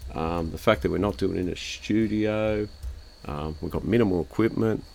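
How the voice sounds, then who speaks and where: Speaking with an Australian accent, a man with a very deep, low pitch uses ordinary pitch variation at a moderate pace. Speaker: podcast host. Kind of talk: casual chat. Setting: outdoor backyard bar.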